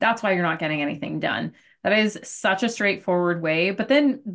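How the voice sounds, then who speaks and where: Against a quiet background, a woman with an ordinary speaking voice and an American accent speaks at a moderate pace with lively intonation. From Arizona. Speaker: business coach and podcast host. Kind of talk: interview.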